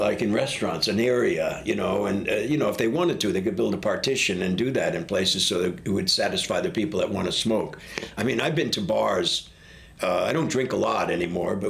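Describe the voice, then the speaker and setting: A man talks at a very fast pace with very even loudness, amid noticeable background noise and audible room echo. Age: 60s. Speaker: public housing resident and smoker. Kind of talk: casual interview.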